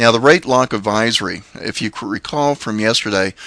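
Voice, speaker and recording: In a dry, close sound with no echo, a man with an American accent speaks at a moderate pace in a bright, sharp tone. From Oklahoma. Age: 50s. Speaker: mortgage broker. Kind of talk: market update video. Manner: hesitant, many filler uhs.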